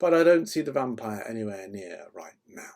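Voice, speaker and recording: A man's put-on character voice, guttural and medium-pitched, with very wide pitch swings at a moderate pace. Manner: sinister, ominous.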